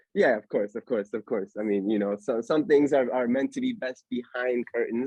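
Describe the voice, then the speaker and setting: A man with a plain, everyday voice speaks at a medium pitch and fairly quick pace, with ordinary pitch variation. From Pennsylvania, US (Allentown near Philadelphia). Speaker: podcast host. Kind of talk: casual chat. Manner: casual, filler-heavy.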